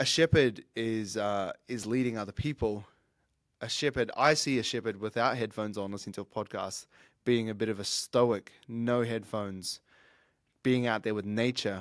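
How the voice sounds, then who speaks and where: Speaking with a New Zealand accent at a moderate pace and medium pitch, a man keeps his intonation fairly even in a very clean, dry, close recording with no echo and a silent background. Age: 30s. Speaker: fitness coach and podcaster. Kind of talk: solo podcast monologue.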